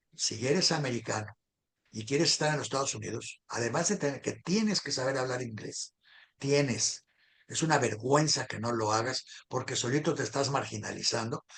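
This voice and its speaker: The voice is somewhat breathy. Its pitch variation is ordinary. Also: man, fairly high pitch for a man, moderate pace. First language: a minority language, not Spanish (speaking Spanish). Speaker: political talk show host. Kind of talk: casual political discussion.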